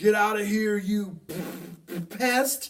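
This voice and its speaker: This is a put-on character voice. Its pitch is fairly high. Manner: fierce, barking.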